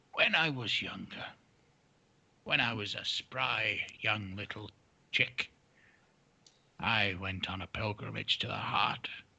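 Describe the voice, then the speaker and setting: A man puts on a character voice at a fairly low pitch. He leaves long, frequent pauses. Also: fairly slow pace. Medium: actual play. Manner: measured, dignified.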